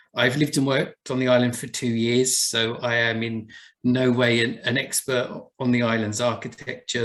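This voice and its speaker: Here a man speaks at a medium pitch. He talks with an Essex accent. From Essex, England. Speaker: buildings conservation officer. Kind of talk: presentation talk.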